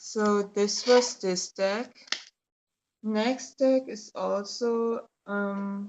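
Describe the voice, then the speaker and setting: Speaking very slowly in a monotone, flat intonation, a woman talks with a German accent. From Germany. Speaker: tarot YouTuber. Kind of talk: casual product review. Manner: hesitant, many fillers.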